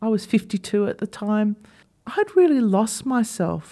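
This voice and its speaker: A woman with an Australian accent speaks in a dark, mellow tone. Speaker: podcast host, former dentist. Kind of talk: solo podcast monologue.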